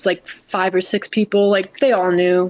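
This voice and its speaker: A woman's an ordinary speaking voice at medium pitch and moderate pace, in a very clean recording with a silent background. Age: 20s. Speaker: retired top video game player. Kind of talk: casual interview chat.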